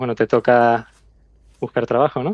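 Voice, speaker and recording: A man with a Canarian accent speaks at medium pitch. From Canary Islands, Tenerife. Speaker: aerospace engineer. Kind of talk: interview.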